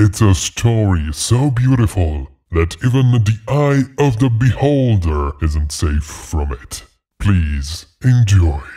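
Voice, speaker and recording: Fairly low in pitch, a man's put-on character voice. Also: fairly slow pace. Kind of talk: horror podcast host. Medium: read story. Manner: ominous, teasing.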